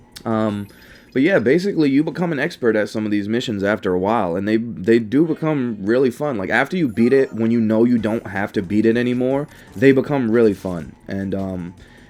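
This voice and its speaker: Noticeable background noise sits behind the speaker. He is a man with lively intonation. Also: medium pitch for a man, fairly quick pace. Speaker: gaming YouTuber. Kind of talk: gaming commentary. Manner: halting, stuttering with many fillers; slightly fast.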